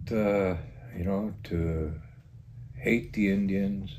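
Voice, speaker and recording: A man's dark, mellow tone over light background noise. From Green Lake, Saskatchewan; Saskatchewan, Canada. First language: Cree. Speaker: village mayor. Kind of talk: interview about local history. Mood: reflective, recalling the past. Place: home room. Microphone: lapel.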